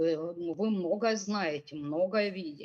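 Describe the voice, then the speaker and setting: Medium pitch from a woman, with pitch that varies in the usual way. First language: Russian. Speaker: forum moderator. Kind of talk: panel discussion questions. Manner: halting.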